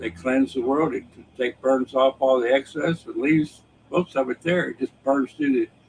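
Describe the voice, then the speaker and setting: A man with an American accent speaks at a fairly slow pace. His pitch is fairly high, and there is noticeable background noise. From United States. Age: 70s. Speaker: political commentary livestreamer. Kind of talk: casual political monologue. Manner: repetitive, halting with fillers.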